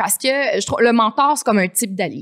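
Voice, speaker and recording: The speaker has a Quebec accent. The background is quiet. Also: woman. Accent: Québécois French. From Quebec City. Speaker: coffee entrepreneur; guest. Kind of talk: casual interview. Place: studio. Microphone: studio mic.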